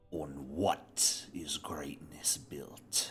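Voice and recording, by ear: A man's put-on character voice, very deep and low, raspy and growling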